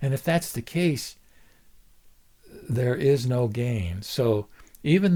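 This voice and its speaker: A man's somewhat breathy voice, dark and mellow in tone, at a fairly slow pace. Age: 70s. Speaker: lay Buddhist video blogger. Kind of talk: solo dharma talk. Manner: halting, many fillers and repetitions.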